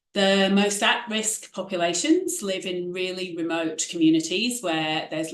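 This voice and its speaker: A woman with a British accent speaks at a moderate pace in a fairly low pitch. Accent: UK. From UK. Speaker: infectious diseases physician and researcher. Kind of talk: online symposium talk. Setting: online event.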